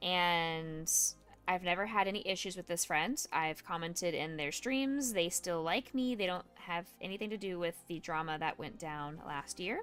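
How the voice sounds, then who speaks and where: Over music in the background, a woman with a fairly low pitch and ordinary pitch variation talks at a moderate pace. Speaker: Twitch streamer and music therapist. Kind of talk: casual livestream chat. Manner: loud. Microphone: microphone very close to mouth.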